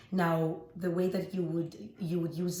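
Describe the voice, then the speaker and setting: Over noticeable background noise, a woman talks with fairly even intonation. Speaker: makeup artist and green beauty expert. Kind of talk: beauty tutorial talk to camera.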